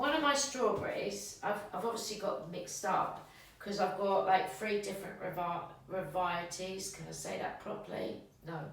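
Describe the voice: A woman speaks with ordinary pitch variation amid strong room echo. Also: medium pitch for a woman, moderate pace.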